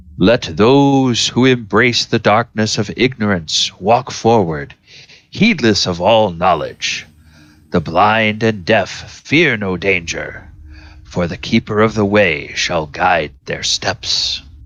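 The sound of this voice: Against a quiet background, a man in a booming, put-on character voice talks at a fairly slow pace, his fairly low pitch carried by lively intonation.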